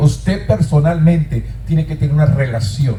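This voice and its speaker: A man is speaking with noticeable background noise. The room echo is audible. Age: 60s. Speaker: pastor. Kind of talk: sermon. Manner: repetitive, emphatic preaching.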